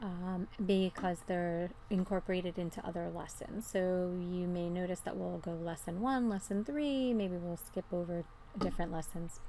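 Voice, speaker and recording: In an American accent, a woman speaks at medium pitch and a moderate pace with hardly any pauses, her tone dark and mellow and her pitch varying in an ordinary way. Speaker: math teacher. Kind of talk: lecture. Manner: casual, with frequent fillers.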